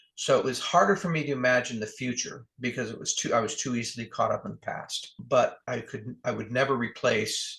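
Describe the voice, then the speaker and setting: A man with an American accent talks at a fairly quick pace with hardly any pauses. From US, New Jersey. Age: 60s. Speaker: author. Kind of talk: interview. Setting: podcast interview.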